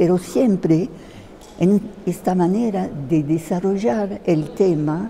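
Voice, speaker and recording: A woman at a fairly low pitch, very slow in pace, with lively intonation. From France, Paris. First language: French (speaking Spanish). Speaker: theatre translator. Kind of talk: interview. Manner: halting, many fillers.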